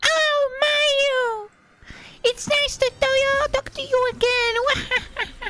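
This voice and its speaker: A female-sounding, put-on character voice at an extremely high pitch moves at a very slow pace with long, frequent pauses. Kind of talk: polite, friendly. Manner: sweet.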